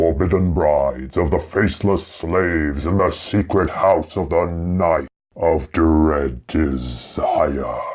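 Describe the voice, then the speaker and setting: In a put-on character voice, a man talks at a fairly slow pace with a very deep, low pitch and hardly any pauses. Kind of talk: theatrical, menacing. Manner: sinister.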